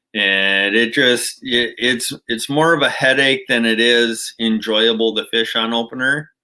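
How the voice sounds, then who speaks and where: A man with a bright, sharp tone speaks at a fairly slow pace, with hardly any pauses. His loudness stays very even and his intonation fairly even, on a very clean recording with a silent background. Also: medium pitch for a man. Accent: Minnesotan. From Minnesota. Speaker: outdoors channel host. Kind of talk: livestream chat with viewers.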